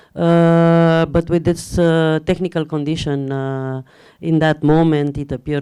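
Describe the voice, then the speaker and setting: Speaking at a fairly slow pace, a woman with a Romanian accent uses a very deep, low pitch and fairly even intonation. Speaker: film editor. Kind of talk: Q&A after screening. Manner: halting, many fillers.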